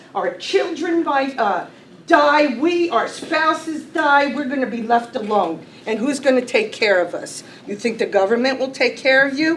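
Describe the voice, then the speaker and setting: A high-pitched woman with lively intonation at a moderate pace, amid noticeable background noise and audible room echo. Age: 60s. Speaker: county worker making public comment. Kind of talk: public comment at a meeting. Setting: county legislature meeting room. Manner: impassioned.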